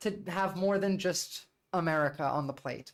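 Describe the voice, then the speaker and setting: Here is a speaker with a New Jersey accent. The recording is very clean, with a silent background. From US, New Jersey. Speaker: political streamer. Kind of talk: livestream commentary. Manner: casual, filler-heavy.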